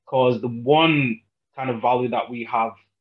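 With a Scottish accent, a man speaks at a moderate pace in a monotone, flat intonation. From Zimbabwe, raised in Scotland. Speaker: assistant branch manager; panelist. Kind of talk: panel discussion. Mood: earnest, positive. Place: office. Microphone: video call.

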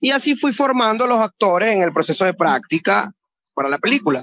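Over a dry, close sound with no echo, a man's high voice swings very widely in pitch at a moderate pace. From Venezuela, Guayana (San Félix / Puerto Ordaz). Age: 30s. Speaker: film director. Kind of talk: interview. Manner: halting, with fillers.

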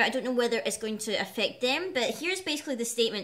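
A woman's high voice with lively intonation. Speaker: card game vlogger. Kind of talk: casual vlog chat. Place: home room. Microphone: webcam.

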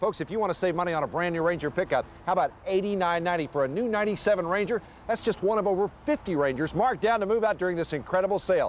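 A man's high-pitched voice with lively intonation, fast pace and few pauses.

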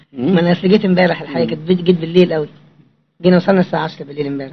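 Talking at a very fast pace, a man with an Egyptian accent uses a high voice and fairly even intonation. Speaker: visitor to the monastery, traveller. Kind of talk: casual talk to a monk.

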